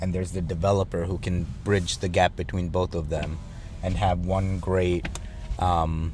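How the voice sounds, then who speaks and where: Very deep and low, this man's voice carries a non-native accent. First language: not English. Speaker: podcast co-host. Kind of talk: casual chat.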